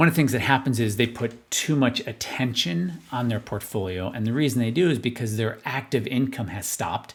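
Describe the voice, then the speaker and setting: A man talks at a fairly quick pace with hardly any pauses, using a medium pitch, ordinary pitch variation and a somewhat breathy voice. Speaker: financial advisor. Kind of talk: market analysis video monologue. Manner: fast.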